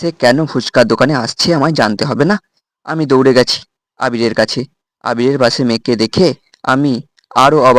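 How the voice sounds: In a natural reading voice with ordinary pitch variation, the speaker is heard against a quiet background.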